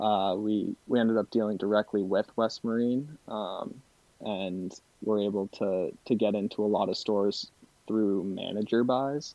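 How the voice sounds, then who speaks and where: At a fairly slow pace, a man talks with an American accent. He has an unremarkable speaking voice. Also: fairly low pitch for a man, fairly even intonation. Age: 20s. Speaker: charter fishing captain. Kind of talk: casual interview.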